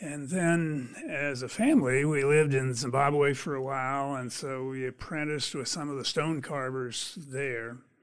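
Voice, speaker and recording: A man with an ordinary speaking voice, fairly high-pitched, with an American accent, fairly even intonation, a moderate pace and hardly any pauses. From Pennsylvania. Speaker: sculpture artist. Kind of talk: interview.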